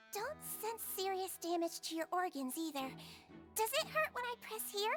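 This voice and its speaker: In a put-on character voice, a female-sounding speaker talks at an extremely high pitch and a moderate pace over clear music in the background. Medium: video game. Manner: soft, soothing, reassuring.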